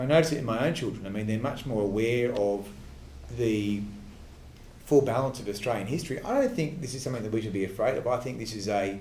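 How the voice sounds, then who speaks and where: A man talks very fast in a medium pitch, somewhat breathy. Room echo is audible, and his pitch varies in an ordinary way. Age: 30s. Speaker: politician. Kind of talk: Q&A answer after a speech. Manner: halting, many fillers and restarts.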